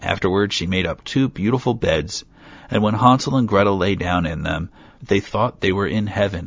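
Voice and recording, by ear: A person is reading aloud in a natural voice. Pitch variation is ordinary.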